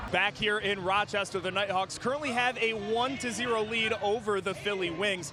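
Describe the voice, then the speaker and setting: Raising and projecting his voice, a man speaks at a high pitch and moderate pace with fairly even intonation and hardly any pauses, over noticeable background noise. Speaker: sideline reporter. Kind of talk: sports broadcast sideline report.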